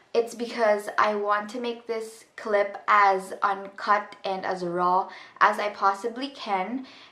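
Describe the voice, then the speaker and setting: The delivery comes very slowly. Its intonation stays fairly even. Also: woman, medium pitch for a woman. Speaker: vlogger. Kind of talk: personal storytime monologue. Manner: halting; many filler ums.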